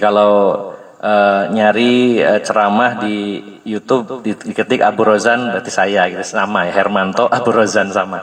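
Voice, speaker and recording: A man speaks at a moderate pace with hardly any pauses, his fairly low voice flat and monotone in a West Javanese accent, over noticeable background noise. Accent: Sundanese. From West Java (Sundanese). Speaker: Islamic preacher. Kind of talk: religious study lecture. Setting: religious gathering in a home, power outage.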